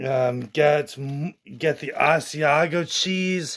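The background stays quiet while a man talks at a very slow pace. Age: 30s. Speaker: YouTube food reviewer. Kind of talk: casual vlog food review; direct appeal to viewers. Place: home room. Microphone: phone near.

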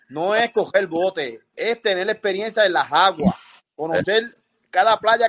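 A man with a Puerto Rican accent speaks at a high pitch with ordinary pitch variation. The background is quiet. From Puerto Rico. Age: 60s. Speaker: fisherman and sailor. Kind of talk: casual chat. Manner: animated. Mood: animated storytelling. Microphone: video call.

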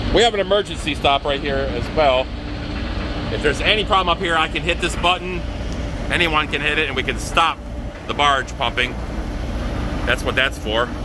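Background sound is clearly present. The man talks somewhat briskly. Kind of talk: casual vlog chat. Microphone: phone near.

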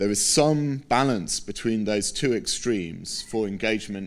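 This man speaks with an English accent and ordinary pitch variation. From Britain. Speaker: scientist; keynote speaker. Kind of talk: conference keynote. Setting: stage with audience. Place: hall. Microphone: podium.

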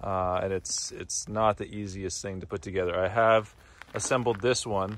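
An ordinary speaking voice: a man at a fairly low pitch and moderate pace, in a dry sound with no echo. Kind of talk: tutorial. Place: open country. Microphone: phone near.

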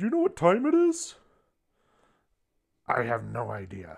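A cartoonish character voice delivers its lines at a moderate pace. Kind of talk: improvised comedy dialogue. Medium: puppet.

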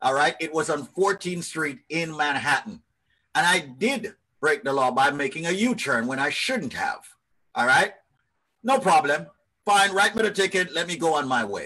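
A man with a New York accent speaks in a high, bright and sharp voice, his animated tone carried by lively intonation against a quiet background. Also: moderate pace. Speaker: radio host. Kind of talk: live radio talk show. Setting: video call. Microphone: video call.

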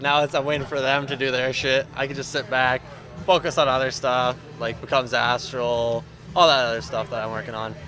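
Over music in the background, a man talks with fairly even intonation at a fairly high pitch. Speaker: metal drummer. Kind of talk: casual interview chat.

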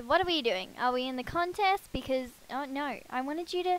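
In a dry sound with no echo, a woman talks in a high pitch with lively intonation. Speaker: gaming YouTuber. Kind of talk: casual gameplay commentary. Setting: room with another person. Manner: animated, enthusiastic. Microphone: headset.

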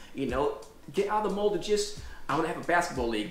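A man with an American accent at a very fast pace, audible room echo and light background noise. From New York City. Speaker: Airbnb owner and local political candidate. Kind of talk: interview conversation. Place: home room. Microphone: camera far.

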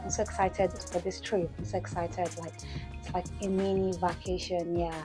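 With clear music in the background, a woman talks at a moderate pace. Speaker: vlogger. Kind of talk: casual vlog chat. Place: home room. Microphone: phone near.

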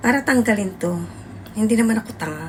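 A woman talks fairly quickly while noticeable background noise plays behind her. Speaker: overseas domestic worker and vlogger. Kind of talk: casual vlog monologue.

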